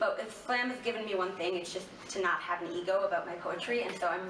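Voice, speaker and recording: A woman's fairly even intonation carries over noticeable background noise. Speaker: spoken word poet. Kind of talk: interview answer.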